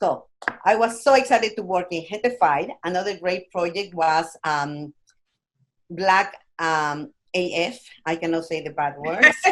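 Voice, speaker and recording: Using lively intonation, a woman with a fairly low voice speaks at a fairly slow pace with long, frequent pauses. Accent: Spanish. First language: Spanish. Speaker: actress. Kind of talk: casual interview.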